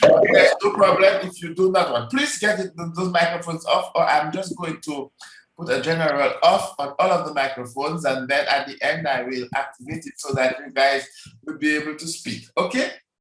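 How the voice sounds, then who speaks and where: With big swings in loudness, a man talks at a fairly quick pace. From Dominica, Caribbean. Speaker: network marketing presenter. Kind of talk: online sales presentation. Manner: hesitant, many fillers; enthusiastic.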